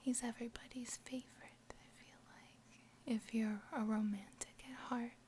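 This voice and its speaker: Over noticeable background noise, someone whispers at a moderate pace. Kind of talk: casual talk to camera. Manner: soft-spoken.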